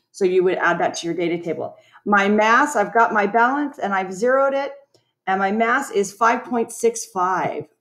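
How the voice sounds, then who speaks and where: A normal speaking voice from a woman, fairly high-pitched, with lively intonation. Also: moderate pace. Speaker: science teacher. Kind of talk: tutorial.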